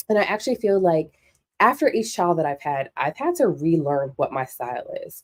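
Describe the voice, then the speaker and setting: Animated in tone, a woman speaks at a fairly quick pace and fairly low pitch with very wide pitch swings. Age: 40s. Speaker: sewing show host. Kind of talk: casual monologue.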